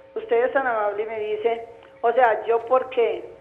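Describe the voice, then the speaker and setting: The speaker keeps a monotone, flat intonation at a moderate pace. Noticeable background noise and audible room echo fill the recording. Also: woman. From rural Guarne, Antioquia, Colombia. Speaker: caller. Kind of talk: call-in question. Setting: phone call.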